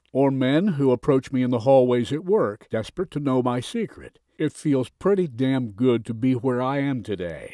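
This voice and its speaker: A plain, everyday voice from a man at medium pitch and a moderate pace. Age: 60s. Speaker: sales presenter. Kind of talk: sales pitch.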